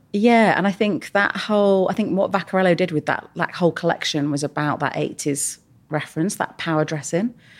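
With an unremarkable speaking voice, a woman talks at a fairly quick pace with hardly any pauses, her fairly low pitch showing ordinary variation in a very clean recording with a silent background. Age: 40s. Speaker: influencer and fashion brand founder. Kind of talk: casual interview.

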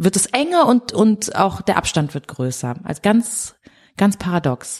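A woman speaks at a very slow pace. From Düsseldorf, Germany (born in Brazil). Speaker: filmmaker and video journalist. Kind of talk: casual interview. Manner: halting, many fillers.

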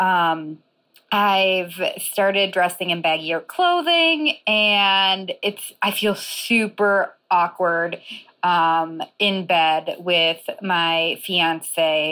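A woman with a New York accent, a medium pitch, fairly even intonation and very even loudness, at a very slow pace. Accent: American, New York. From upstate New York. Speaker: listener sending a voice message. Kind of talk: recorded voice message.

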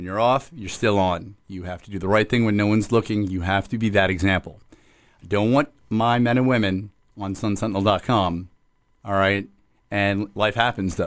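In an American accent, a man with a plain, everyday voice and a fairly low pitch speaks at a moderate pace. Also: fairly even intonation. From South Florida, Hollywood. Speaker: police detective, recruiter. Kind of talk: radio interview.

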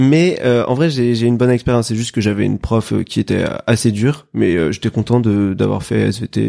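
A man with a dark, mellow tone speaks at a medium pitch and moderate pace with ordinary pitch variation. The recording is very clean, dry and close with no echo and a silent background. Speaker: engineering student. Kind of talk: casual interview.

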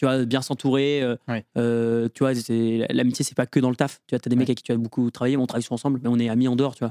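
A man at a very fast pace, medium in pitch, with a dark, mellow tone and monotone, flat intonation, in a dry, close sound with no echo. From Lorraine, France. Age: 20s. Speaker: stand-up comedian and engineering student. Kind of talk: casual interview chat.

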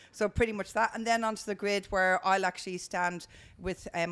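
Speaking fairly quickly with an Irish accent, a woman keeps her intonation monotone and flat. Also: very clean recording, silent background. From Ireland. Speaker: motorsport volunteer official. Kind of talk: casual chat.

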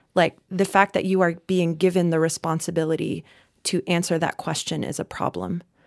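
A woman's fairly low, monotone voice at a moderate pace, with flat intonation, dry and close with no echo, on a very clean recording with a silent background. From North Carolina. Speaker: journalist. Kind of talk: group discussion. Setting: studio.

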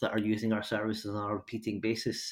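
Recorded very cleanly against a silent background, a man speaks at a medium pitch in a Scottish accent. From northern Scotland. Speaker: startup founder and CEO. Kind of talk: interview.

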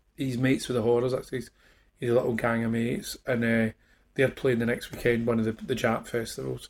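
A man with a Glaswegian accent speaks at a very fast pace and medium pitch in a monotone, flat delivery. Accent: Glaswegian Scottish. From Scotland, Glasgow. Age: 50s. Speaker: musician. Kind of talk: casual interview chat. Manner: halting, many repetitions and fillers.

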